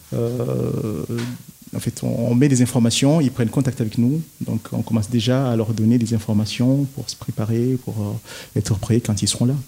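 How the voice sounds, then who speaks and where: A man with an ordinary speaking voice talks at a medium pitch and a moderate pace with fairly even intonation. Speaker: community association president. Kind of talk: radio interview.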